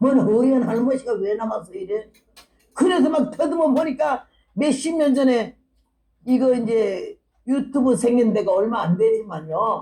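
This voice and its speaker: A woman's high-pitched voice, fairly slow and lively in intonation. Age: 80s+. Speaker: missionary preacher. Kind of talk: revival sermon with personal testimony. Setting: church revival meeting. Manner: animated.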